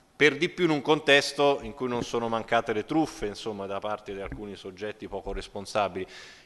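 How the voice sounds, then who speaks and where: The speaker is a man at a medium pitch. His tone is bright and sharp. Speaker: energy efficiency expert. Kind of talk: panel discussion. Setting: stage with audience. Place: hall. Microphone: podium.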